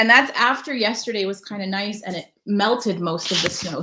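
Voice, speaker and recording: Here a woman speaks at a moderate pace and medium pitch, with an American accent and ordinary pitch variation. She has an unremarkable speaking voice. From Connecticut, US. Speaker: travel vlogger and live streamer. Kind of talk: casual live stream chat. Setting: live stream at home.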